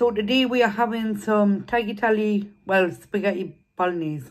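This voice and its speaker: A woman is speaking. Her pace is moderate. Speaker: eating vlogger. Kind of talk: casual vlog chat. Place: home room. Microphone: phone near.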